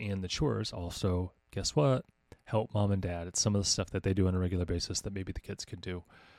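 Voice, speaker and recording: A man with an American accent talks very fast in a very deep, low voice with fairly even intonation. The recording is very clean, with a silent background and a dry, close sound with no echo. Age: 40s. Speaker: podcast host and homeschooling coach. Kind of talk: casual monologue. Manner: halting with frequent fillers.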